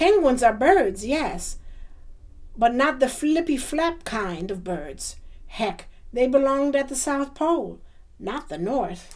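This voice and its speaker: A woman's gruff, high-pitched put-on character voice at a fairly slow pace, broken by long, frequent pauses. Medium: read story. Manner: gruff, roaring.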